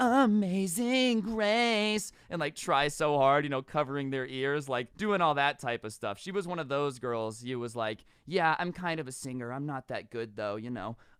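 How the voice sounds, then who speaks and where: With an American accent, a man talks at a moderate pace with hardly any pauses, his fairly high pitch swinging very widely, on a very clean recording with a silent background. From US West, Las Vegas. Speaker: storytime youtuber. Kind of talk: storytelling monologue. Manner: casual, animated.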